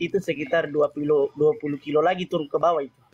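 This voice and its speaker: Recorded with a dry, close sound and no echo, a man with a fairly high pitch talks at a very fast pace. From South Sulawesi, Bugis, Pinrang regency. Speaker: caller. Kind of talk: casual chat.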